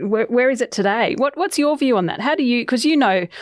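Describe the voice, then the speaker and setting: Her intonation is lively. The woman's tone is upbeat. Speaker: podcast host. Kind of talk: interview.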